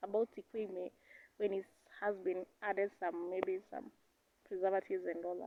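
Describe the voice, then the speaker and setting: Moderate-paced speech from a woman at medium pitch, with ordinary pitch variation. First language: Kenyan native language. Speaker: vlogger. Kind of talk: casual vlog talk. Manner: halting, searching for words.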